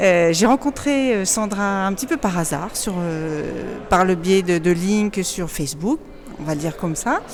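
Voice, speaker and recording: A woman's medium-pitched voice with lively intonation, a fairly slow pace and noticeable background noise. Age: 50s. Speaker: program client sharing testimony. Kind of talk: testimony interview. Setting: in person, Madrid. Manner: halting, stammering.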